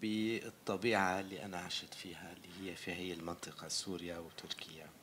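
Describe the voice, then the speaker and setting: With an Arabic accent, a man speaks in a very deep, low pitch at a fairly slow pace, with fairly even intonation, hardly any pauses and big swings in loudness. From Syria. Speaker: film director. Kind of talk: Q&A interview. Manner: halting.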